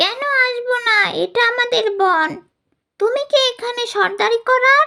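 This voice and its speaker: This cartoonish character voice sits at an extremely high pitch. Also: moderate pace. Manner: meek, anxious.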